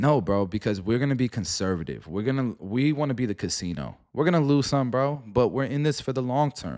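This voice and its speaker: Here is a man with an unremarkable speaking voice, medium pitch and lively intonation, talking at a fairly quick pace with hardly any pauses. The recording is very clean, with a silent background. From New York, Puerto Rican family. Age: middle-aged. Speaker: stock market streamer. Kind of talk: live stream commentary. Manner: casual, slangy.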